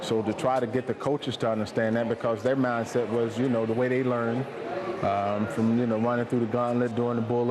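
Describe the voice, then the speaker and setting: A man's medium-pitched voice at a fairly quick pace, very even in loudness and monotone in delivery, over noticeable background noise. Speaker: football coach or league official. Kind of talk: interview answer. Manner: conversational, with hesitations.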